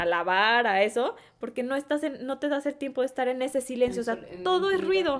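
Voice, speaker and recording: With a Mexican accent, a woman speaks in a high voice at a fairly quick pace, her intonation lively. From Mexico, Guadalajara (Jalisco). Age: 20s. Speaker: entrepreneur. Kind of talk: interview.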